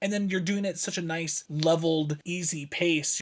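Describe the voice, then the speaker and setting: He is a man with an ordinary speaking voice and a fairly high pitch. His pace is moderate and his pitch variation ordinary. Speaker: board game reviewer. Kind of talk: casual review conversation.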